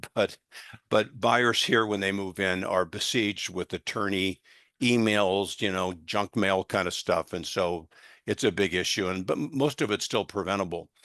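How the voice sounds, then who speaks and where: A man with a bright, sharp tone and fairly low pitch speaks at a moderate pace with ordinary pitch variation, the sound dry and close with no echo over a quiet background. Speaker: litigation consultant giving real estate training. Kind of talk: training seminar.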